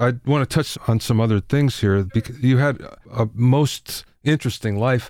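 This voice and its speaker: In a very clean recording with a silent background, a man with an American accent and an ordinary speaking voice talks at a moderate pace and medium pitch, with fairly even intonation, very even loudness, and hardly any pauses. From Pennsylvania. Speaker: podcast host. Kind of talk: interview.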